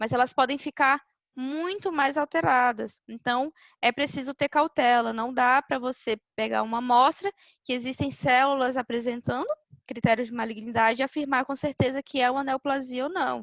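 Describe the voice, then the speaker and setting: Ordinary pitch variation and a moderate pace from a woman with a high pitch. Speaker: veterinarian lecturer. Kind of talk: lecture.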